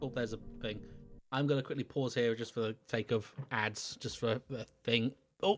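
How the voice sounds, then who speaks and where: A mumbling man at a medium pitch, moderate pace and fairly even intonation, with music in the background. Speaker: video game streamer. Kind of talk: gameplay commentary livestream. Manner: halting, self-correcting; mumbling to self.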